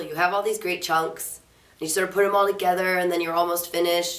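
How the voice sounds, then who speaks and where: There is noticeable background noise as a woman talks in a fairly low pitch. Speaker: singer-songwriter. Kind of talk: interview answer. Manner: casual, chatty.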